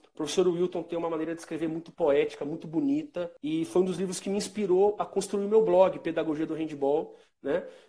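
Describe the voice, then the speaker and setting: Pitched high, this man's voice has a dark, mellow tone and ordinary pitch variation. He moves at a fairly quick pace with hardly any pauses. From São Paulo state, Brazil (Santo André, Sorocaba). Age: 30s. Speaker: physical education teacher and author. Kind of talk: interview in a live video stream.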